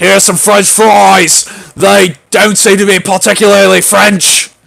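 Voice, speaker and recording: A raspy, put-on character voice moves at a fairly slow pace. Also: man, high pitch for a man. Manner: aggressive, mock.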